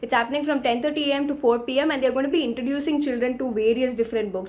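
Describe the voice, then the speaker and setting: Speaking at a very fast pace in a South Indian accent, the speaker has an animated tone and ordinary pitch variation over noticeable background noise. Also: woman. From India, Tamil Nadu. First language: Tamil. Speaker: book vlogger. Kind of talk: news roundup vlog.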